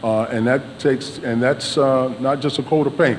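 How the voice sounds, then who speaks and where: A man at medium pitch speaks at a moderate pace with fairly even intonation over noticeable background noise. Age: 60s. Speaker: mayoral candidate. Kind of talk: debate closing statement. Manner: halting, many fillers.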